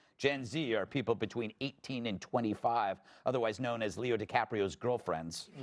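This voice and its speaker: A man talks in an ordinary speaking voice, his pitch medium and its variation ordinary, at a moderate speed. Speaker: talk show host. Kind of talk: comedic monologue.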